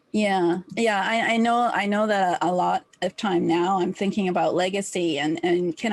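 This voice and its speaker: Speaking at a moderate pace, a woman with a medium pitch keeps her intonation fairly even. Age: 60s. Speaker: talk show host. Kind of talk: interview. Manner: halting.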